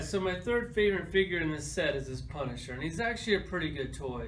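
A high-pitched man at a very fast pace amid light background noise. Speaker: toy collector reviewer. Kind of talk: casual toy review chat. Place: home room.

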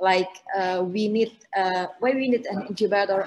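A woman with an Indonesian accent. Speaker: co-op startup CEO; panelist. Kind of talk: online panel presentation. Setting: video call. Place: home room. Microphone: video call.

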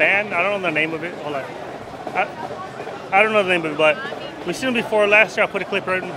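Over noticeable background noise, a man speaks in a raised, projected voice with ordinary pitch variation, in a dry sound with no echo. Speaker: theme park vlogger. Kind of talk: casual vlog chat. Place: street. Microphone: phone near.

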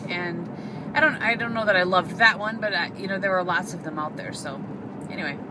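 Fairly quick speech over noticeable background noise. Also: woman. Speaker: vlogger. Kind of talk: casual vlog chat. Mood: chatty, cheerful. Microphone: phone near.

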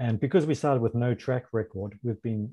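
A somewhat breathy man with a New Zealand accent talks at a fairly quick pace, his pitch varying in an ordinary way. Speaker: food importer; panelist. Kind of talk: panel discussion. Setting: video call. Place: home room. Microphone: webcam.

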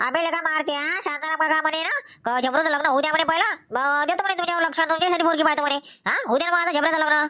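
Putting on a character voice at an extremely high pitch, a woman talks at a very fast pace with fairly even intonation and very even loudness. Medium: comedy sketch. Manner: chatty, rustic.

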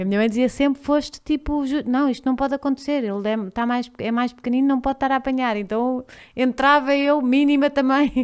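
Speaking at a fairly quick pace and a high pitch, a woman with a European Portuguese accent keeps her intonation fairly even. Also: quiet background. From Portugal. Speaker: podcast host; podcast guest. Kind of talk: casual chat. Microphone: studio mic.

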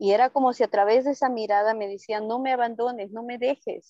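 This woman talks at a very fast pace in a dark, mellow tone. The sound is dry with no echo, and the background is quiet. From Bolivia. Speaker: wildlife sanctuary founder. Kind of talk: interview conversation in Spanish. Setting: video call from the jungle, outdoors on a tent roof in rain. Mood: warm, emotional. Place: forest. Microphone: earbuds.

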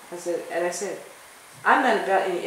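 A fairly low-pitched woman's voice with an American accent, fairly quick and fairly even, with audible room echo and light background noise. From US Northeast, Philadelphia. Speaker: professor. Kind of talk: interview. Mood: reflective, firm at times. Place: hall. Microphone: phone near.

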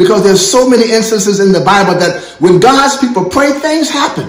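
A man talks in a warm tone at a high pitch, with lively intonation. Noticeable background noise can be heard. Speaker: church prayer director and pastor. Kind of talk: sermon-style thank-you message and closing blessing. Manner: fervent, preacherly, warm and exhortatory.

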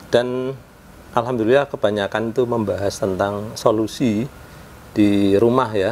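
A man speaks with fairly even intonation. Light background noise sits behind him. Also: fairly slow pace. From Indonesia. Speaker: home repair YouTuber; home repair youtuber. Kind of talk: casual tutorial vlog. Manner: conversational, frequent filler 'ya'. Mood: calm, explaining a complaint. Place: home room. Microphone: lapel.

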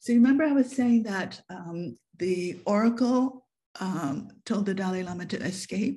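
In a somewhat breathy, dark, mellow tone, a woman speaks at a medium pitch and a fairly slow pace with lively intonation. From Japan, then US and UK. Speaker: photographer and author. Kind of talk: online presentation. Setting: video call. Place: home room. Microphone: webcam.

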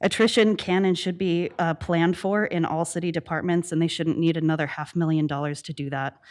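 A woman speaks at a fairly quick pace with hardly any pauses. Her fairly low voice keeps a fairly even intonation. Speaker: public commenter, PhD candidate. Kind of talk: public comment at council meeting. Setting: city council meeting. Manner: fast.

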